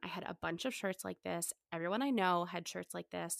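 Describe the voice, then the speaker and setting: Speaking at a moderate pace, a woman uses a plain, everyday voice at a medium pitch, recorded very cleanly against a silent background with a dry, close sound and no echo. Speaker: podcast host. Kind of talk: casual chat.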